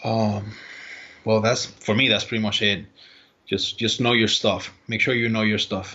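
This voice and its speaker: A man with a Spanish accent and a fairly low pitch speaks in a monotone, flat intonation at a fairly slow pace, with long, frequent pauses. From Puerto Rico. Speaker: baseball strength and conditioning coach. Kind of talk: podcast interview. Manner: halting.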